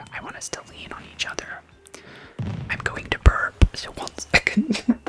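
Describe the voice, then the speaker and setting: Whispering over music in the background. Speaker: ASMR gaming streamer. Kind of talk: casual chatty gameplay commentary with viewers. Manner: whispery, soft-spoken.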